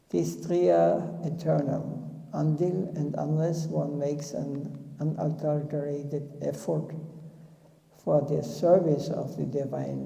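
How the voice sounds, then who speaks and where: A man with a non-native accent at a fairly slow pace, amid noticeable background noise and audible room echo. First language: not English. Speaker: spiritual teacher. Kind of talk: religious discourse. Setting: temple.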